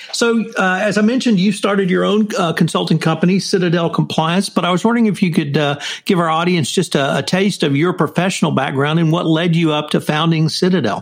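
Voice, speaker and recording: An American man with a high pitch talks at a very fast pace, hardly any pauses, very even loudness and ordinary pitch variation, with an American accent. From US, Texas, Houston. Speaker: podcast host, consultant. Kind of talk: interview.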